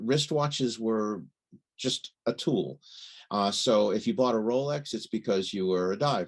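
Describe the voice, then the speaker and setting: An unremarkable speaking voice from a man with an American accent, medium pitch, moderate pace and lively intonation, the sound dry and close with no echo. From United States. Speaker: watch journalist. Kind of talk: interview.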